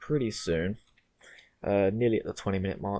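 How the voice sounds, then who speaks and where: The speaker is a man. His voice sits at a fairly low pitch. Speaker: gaming youtuber. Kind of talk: gameplay commentary.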